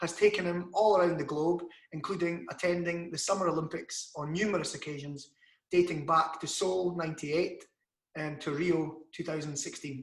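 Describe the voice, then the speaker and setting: Speaking in a Scottish accent at a moderate pace, a man keeps his pitch high. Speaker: interviewer, channel host. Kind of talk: scripted introduction; interview.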